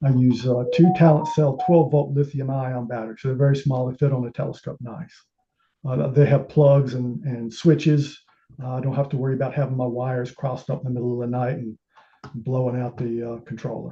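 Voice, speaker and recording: A man speaks at a fairly quick pace with a dark, mellow tone and medium pitch. His voice is somewhat breathy, with fairly even intonation. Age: 60s. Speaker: amateur telescope maker presenting his build. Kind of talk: technical presentation. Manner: halting, many filler sounds.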